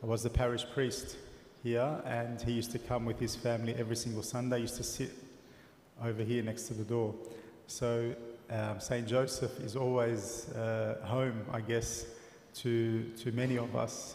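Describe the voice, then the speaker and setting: A man talks at a moderate pace in a monotone, flat delivery. Audible room echo and light background noise sit behind him. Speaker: priest introducing the guest speaker. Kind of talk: introduction speech. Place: church.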